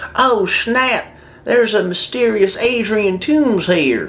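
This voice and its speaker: The speaker uses a put-on character voice with a fairly high pitch. The pace is fairly slow, with light background noise behind it. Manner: mock-dramatic.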